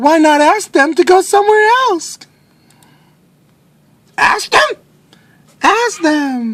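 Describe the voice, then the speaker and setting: In a put-on character voice, the speaker squeaks at an extremely high pitch, going very slowly with long, frequent pauses. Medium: read story. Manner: calm, upbeat.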